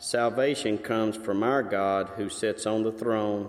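This is a man with an unremarkable speaking voice. His pitch sits fairly low, and his intonation stays fairly even. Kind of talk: scripture reading. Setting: church.

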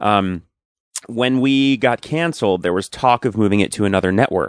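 In an American accent, a man with an unremarkable speaking voice talks at a fairly quick pace, his pitch fairly low with ordinary pitch variation. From Long Island, New York. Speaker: actor. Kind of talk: casual chat.

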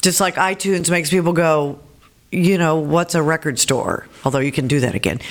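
In an ordinary speaking voice, a woman talks at a fairly quick pace with a fairly low pitch and ordinary pitch variation. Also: very even loudness. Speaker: former radio host, author, speaker, congressional candidate. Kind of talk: casual interview chat.

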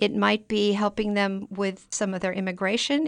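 Against a quiet background, a woman speaks at a moderate pace and medium pitch in an unremarkable speaking voice. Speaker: library immigrant program liaison. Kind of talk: interview.

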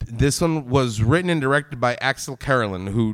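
A man talks at a fairly quick pace. His medium-pitched voice is a plain, everyday voice. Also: very clean recording, silent background. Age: 40s. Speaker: podcast host. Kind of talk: casual chat. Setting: live show with audience.

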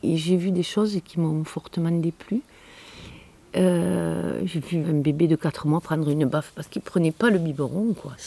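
A woman's very deep, low voice at a fairly slow pace, with ordinary pitch variation, noticeable background noise, and a dry, close sound with no echo. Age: 60s. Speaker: chef and cooking trainer. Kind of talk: interview.

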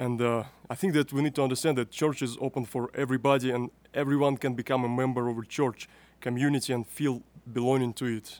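In a very clean recording with a silent background, a man speaks at a fairly quick pace in a flat monotone at a medium pitch. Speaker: youth podcast host. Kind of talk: interview. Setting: youth conference.

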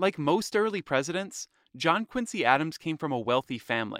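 Spoken at a moderate pace, the clip is a very clean recording with a silent background. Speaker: podcast host. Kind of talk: scripted narration.

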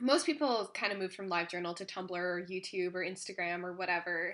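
A woman with a Canadian accent has a normal speaking voice. Her pitch is medium, with ordinary pitch variation. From Ontario, Canada. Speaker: podcast host. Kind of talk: casual chat. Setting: at home, cat on lap.

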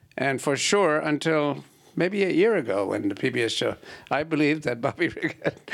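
A man talks at a moderate pace with a fairly high pitch and lively intonation. His voice has vocal fry and very even loudness. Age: 70s. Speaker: audience member. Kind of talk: audience question. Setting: stage with audience.

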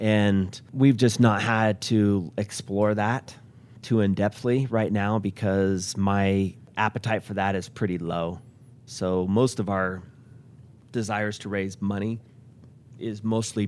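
An ordinary speaking voice moves at a fairly slow pace. The intonation is fairly even. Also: man, fairly low pitch for a man. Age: 40s. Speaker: company owner and CEO. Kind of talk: interview.

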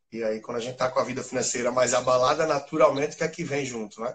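The speaker is a man with a medium pitch. His delivery comes at a very fast pace. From Recife, Brazil. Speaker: financial expert. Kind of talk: live interview.

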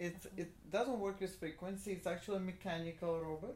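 In a Russian accent, a woman speaks at a fairly low pitch. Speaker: natural medicine doctor. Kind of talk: interview. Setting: in her office.

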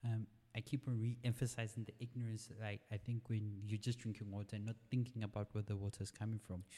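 The voice is somewhat breathy, with a dark, mellow tone. It moves along at a fairly quick pace. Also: man. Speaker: podcast host. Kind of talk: casual interview.

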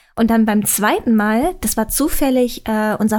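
Heard in a very clean recording with a silent background, a woman with a plain, everyday voice speaks at a moderate pace and a fairly high pitch. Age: 20s. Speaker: YouTuber. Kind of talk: casual chat.

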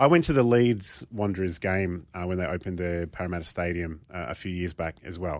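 On a very clean recording with a silent background, a man with a very deep, low pitch and an Australian accent talks at a fairly quick pace with hardly any pauses and ordinary pitch variation. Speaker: football pundit. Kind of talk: casual chat.

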